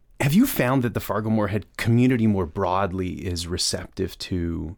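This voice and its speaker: A fairly quick man with an American accent and an unremarkable speaking voice talks at a fairly low pitch with ordinary pitch variation. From Minnesota. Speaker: podcast host. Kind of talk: interview.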